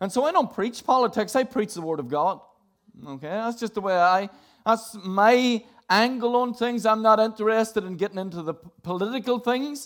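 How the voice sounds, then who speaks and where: A high-pitched man's voice with a Northern Irish accent and big swings in loudness. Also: ordinary pitch variation, moderate pace. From Northern Ireland. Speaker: preacher. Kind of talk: sermon.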